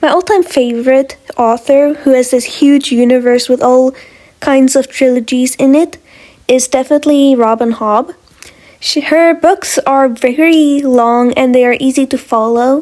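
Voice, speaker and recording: Speaking at a fairly slow pace with a non-native accent, a woman uses a high voice with fairly even intonation and very even loudness. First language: not English. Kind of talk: casual talk to camera.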